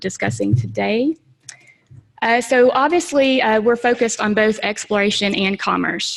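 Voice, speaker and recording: This woman has a Southern US accent and a fairly high pitch. Her pitch varies in an ordinary way. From US South. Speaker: space agency technology manager. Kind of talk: conference presentation. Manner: fast; animated.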